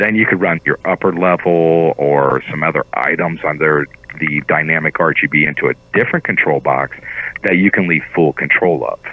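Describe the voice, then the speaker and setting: With noticeable background noise behind him, a man speaks in a very deep, low pitch with fairly even intonation. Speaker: CEO of a Christmas lighting company. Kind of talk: radio interview. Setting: phone call. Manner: fast.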